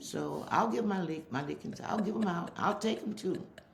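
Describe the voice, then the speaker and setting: Audible room echo and noticeable background noise surround a woman with a fairly low voice. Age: old. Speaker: interviewee, mother. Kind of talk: casual interview.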